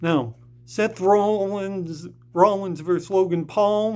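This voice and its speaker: Here a man talks. His intonation is fairly even. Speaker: wrestling vlogger. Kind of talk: casual vlog recap. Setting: rehab center at night. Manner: quieter than usual, not using loud voice.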